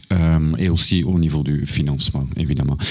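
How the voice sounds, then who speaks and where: Fairly even intonation from a man with a very deep, low pitch, at a moderate pace. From Flanders, Belgium. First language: Dutch (Flemish) (speaking French). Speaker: proptech entrepreneur. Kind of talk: panel discussion. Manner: halting, repeats words.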